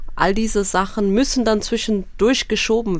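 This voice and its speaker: A woman talks in a normal speaking voice at a medium pitch. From Eritrea. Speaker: member of parliament. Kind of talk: radio interview.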